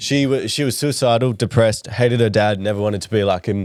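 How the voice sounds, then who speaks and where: With an Australian accent, a man talks at a fairly quick pace using fairly even intonation. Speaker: comedy podcast co-host. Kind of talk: casual chat.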